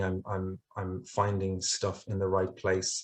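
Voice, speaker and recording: Against a quiet background, a man speaks with an Irish accent in a somewhat breathy voice. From Ireland. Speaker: English language teacher trainer. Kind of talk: conference webinar presentation. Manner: hesitant, many fillers and repetitions.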